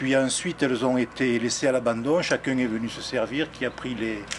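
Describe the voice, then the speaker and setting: A man with a southern French accent speaks at a medium pitch with fairly even intonation. Noticeable background noise is present. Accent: southern French (Midi). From southern France, near Arles. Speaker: local resident, interviewee. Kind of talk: documentary interview. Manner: halting, many hesitations.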